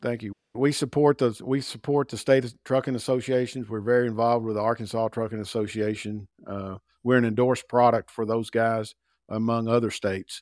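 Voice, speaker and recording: Dry and close with no echo, on a very clean recording with a silent background, a man speaks fairly quickly at a medium pitch in a flat monotone. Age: 60s. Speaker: sales director. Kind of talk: interview.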